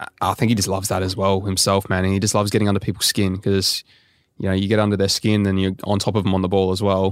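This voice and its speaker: This man talks very fast in an Australian accent, his pitch fairly low and his intonation flat and monotone. The recording is very clean, with a silent background. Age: 20s. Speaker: professional footballer. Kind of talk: casual chat.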